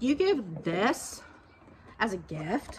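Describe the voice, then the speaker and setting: The speaker has a Georgia accent. Background noise is noticeable throughout. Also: woman. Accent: Southern US (Georgia). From southern Georgia, US South. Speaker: lifestyle YouTuber, dog grooming business owner; lifestyle YouTuber. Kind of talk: casual haul video monologue. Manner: animated. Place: garden. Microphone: phone near.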